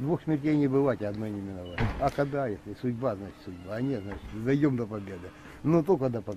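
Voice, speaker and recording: With a plain, everyday voice at a medium pitch, a man talks at a fairly quick pace with lively intonation and big swings in loudness. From eastern Ukraine, Donbas (Lysychansk). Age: 60s. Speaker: militia fighter. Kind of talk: interview. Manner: emotional.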